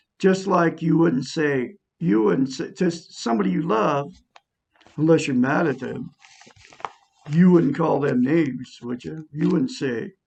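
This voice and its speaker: A man with a fairly high pitch and vocal fry talks at a fairly slow pace, with long, frequent pauses. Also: lively intonation. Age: 60s. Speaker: self-help video teacher. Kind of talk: casual monologue teaching self-help.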